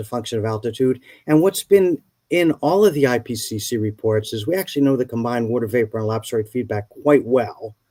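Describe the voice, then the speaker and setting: The man's dark, mellow tone sits at a medium pitch as he talks at a fairly quick pace in a very clean recording with a silent background. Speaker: climate scientist. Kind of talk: lecture. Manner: fast.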